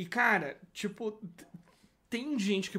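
This is a man's voice. Its tone is bright and sharp. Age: 20s. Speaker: designer. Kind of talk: casual chat. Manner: animated.

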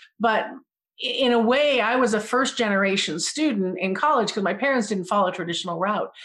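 A woman with an American accent has a plain, everyday voice at a fairly high pitch, talking at a fairly quick pace against a quiet background. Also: ordinary pitch variation. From Massachusetts, then El Paso from high school. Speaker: nonprofit board member and university instructor. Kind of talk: casual interview.

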